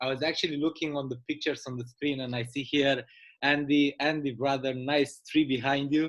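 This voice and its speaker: A man with a Romanian accent talks at a moderate pace in a fairly high pitch, his intonation monotone and flat. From Romania, Bucharest. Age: 30s. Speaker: business presenter. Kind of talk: sales pitch.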